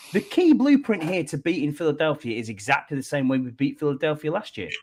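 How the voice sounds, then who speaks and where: This man speaks with a Northumbrian accent. His pitch is fairly high, with ordinary variation. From northern England, Northumberland. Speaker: podcast co-host. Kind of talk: casual chat.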